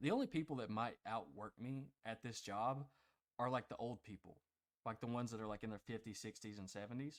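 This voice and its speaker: A man speaks at a fairly quick pace with medium pitch and ordinary pitch variation, in an ordinary speaking voice. The sound is dry and close, with no echo. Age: 20s. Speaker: podcast co-host. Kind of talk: casual chat.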